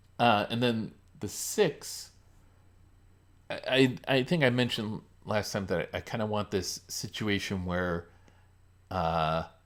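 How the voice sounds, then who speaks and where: A man talks at a fairly slow pace with ordinary pitch variation and long, frequent pauses. The recording is very clean, with a silent background. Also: fairly low pitch for a man. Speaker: game designer live streamer. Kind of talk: live stream design talk. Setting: live stream. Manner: halting, many fillers.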